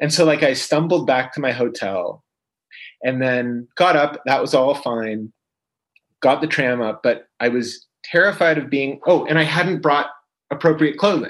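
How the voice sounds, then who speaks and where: A man with a Canadian accent and an ordinary speaking voice talks at a fairly slow pace, his fairly high pitch showing ordinary variation. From London, Ontario, Canada. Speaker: collage artist and photographer. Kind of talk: interview conversation.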